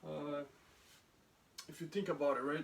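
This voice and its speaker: A man with a non-native accent talks at a moderate pace and a fairly high pitch. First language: not English. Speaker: soldier. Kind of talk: lecture. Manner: halting.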